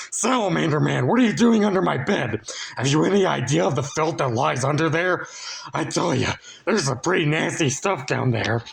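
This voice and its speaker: A man puts on a character voice that is raspy and fairly high, with very wide pitch swings. He talks at a fairly quick pace and with very even loudness. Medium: read story. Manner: loud, crude.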